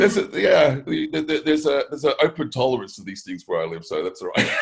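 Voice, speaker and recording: A man talks at a very fast pace with big swings in loudness. Background noise is noticeable. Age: 50s. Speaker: bodybuilder and performance drug coach. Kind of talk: podcast interview. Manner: halting, repeats words.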